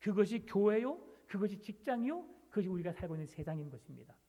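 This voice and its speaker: Lively in intonation, a man talks at a very fast pace in a high voice with a dark, mellow tone. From South Jeolla, near Gyeongsang border. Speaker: pastor. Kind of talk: sermon.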